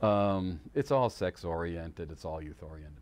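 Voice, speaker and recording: Over a quiet background, a man with a very deep, low pitch speaks with lively intonation. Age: 60s. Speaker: youtuber and musician. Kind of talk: casual monologue. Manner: hesitant, many fillers.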